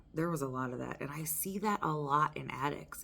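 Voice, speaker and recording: This voice belongs to a woman. It sits at a very deep, low pitch. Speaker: recovery vlogger. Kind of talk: personal testimony. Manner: loud.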